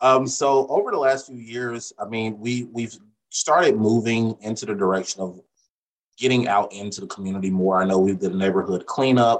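Speaking at a moderate pace, a man with a plain, everyday voice keeps a medium pitch with ordinary pitch variation. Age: 30s. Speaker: real estate agent. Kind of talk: casual interview.

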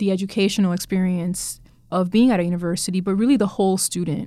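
A woman with an American accent has an ordinary speaking voice at medium pitch. She talks at a fairly quick pace with fairly even intonation, on a very clean recording with a silent background. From Miami, Florida. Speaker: university librarian. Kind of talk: interview.

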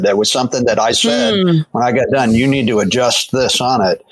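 A man with an unremarkable speaking voice, medium in pitch, with lively intonation at a fairly quick pace. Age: 60s. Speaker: pastor. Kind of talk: casual chat.

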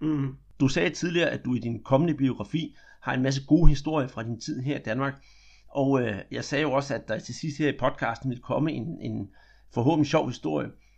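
A man's fairly high voice with vocal fry, very fast in pace, with ordinary pitch variation. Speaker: podcast host. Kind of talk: interview.

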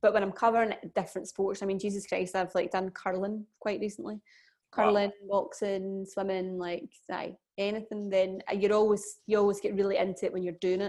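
Over a silent background in a very clean recording, a woman at a medium pitch speaks at a fairly quick pace in a monotone, flat intonation. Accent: Glaswegian. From Scotland, Glasgow. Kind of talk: casual chat.

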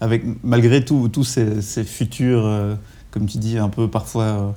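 A dark, mellow tone with fairly even intonation. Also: man. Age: 30s. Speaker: podcast host. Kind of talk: interview. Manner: halting, many repetitions.

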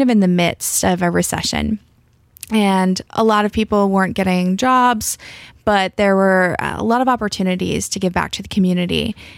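An ordinary speaking voice at a moderate pace, with a dry, close sound with no echo, on a very clean recording with a silent background. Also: woman. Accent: American. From US South. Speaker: high school English teacher and writer. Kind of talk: casual interview. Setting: radio studio.

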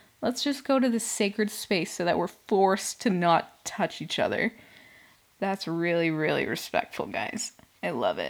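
With vocal fry and an animated tone, a woman of medium pitch speaks at a moderate pace, her pitch swinging very widely. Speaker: solo podcast host. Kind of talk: casual solo recap commentary. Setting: home recording.

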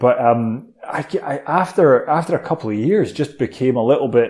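Dark, mellow tone from a man at a medium pitch. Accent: Edinburgh. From Scotland, Edinburgh. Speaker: entrepreneur, letting agency co-founder. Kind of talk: interview. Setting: at home, remote call.

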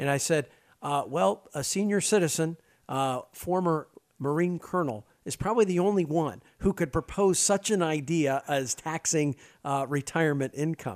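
This man has an unremarkable speaking voice, fairly high in pitch with ordinary variation. He keeps a moderate pace on a very clean recording with a silent background. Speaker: podcast host. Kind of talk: interview conversation.

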